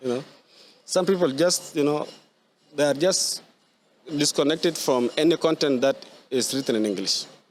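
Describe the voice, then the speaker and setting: A fairly high-pitched man at a moderate pace, with ordinary pitch variation and long, frequent pauses. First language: Arabic. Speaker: writer. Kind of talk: podcast conversation. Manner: halting, many repetitions.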